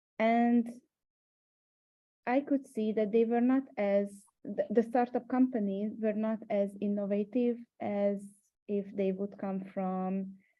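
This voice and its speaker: In a Hungarian accent, a woman speaks at a very slow pace with fairly even intonation and long, frequent pauses. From Hungary. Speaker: startup mentor. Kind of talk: webinar panel discussion. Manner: hesitant, many fillers.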